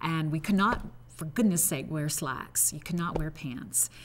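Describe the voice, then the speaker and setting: A woman speaks at a moderate pace in a very deep, low pitch with ordinary pitch variation. Her voice is somewhat breathy. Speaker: retired TV news anchor. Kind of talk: interview reminiscence.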